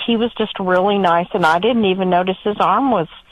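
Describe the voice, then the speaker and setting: A woman talks at a moderate pace with an American accent. Her pitch sits in the medium range. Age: 60s. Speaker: caller. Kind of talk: phone-in call. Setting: phone call. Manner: halting.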